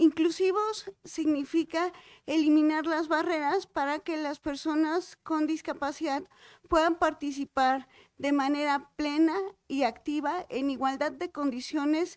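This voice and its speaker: Against a quiet background, a woman with a high pitch talks at a fairly slow pace with fairly even intonation, the sound dry with no echo. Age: young. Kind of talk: formal opening speech. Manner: formal. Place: hall. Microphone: podium.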